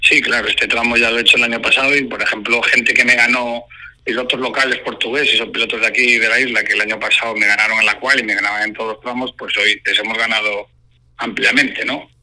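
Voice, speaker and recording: With noticeable noise in the background, a man speaks very fast. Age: 40s. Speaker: rally driver. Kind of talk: phone interview.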